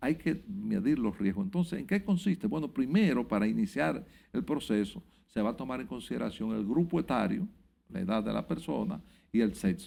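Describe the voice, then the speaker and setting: A man with a fairly high pitch and a dark, mellow tone swings very widely in pitch, his voice breaking into vocal fry. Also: moderate pace. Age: 70s. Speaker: health insurance association president. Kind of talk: TV interview.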